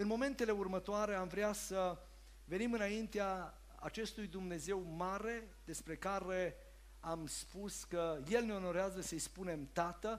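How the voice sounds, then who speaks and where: A man speaks at a fairly slow pace in a high-pitched voice, his intonation fairly even. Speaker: church service host. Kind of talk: sermon-style announcement. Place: church. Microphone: headset.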